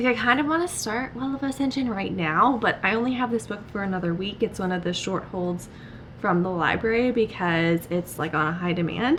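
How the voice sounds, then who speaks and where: Noticeable background noise sits behind a woman at medium pitch. She speaks fairly quickly with lively intonation. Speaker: book vlogger. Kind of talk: casual vlog talk.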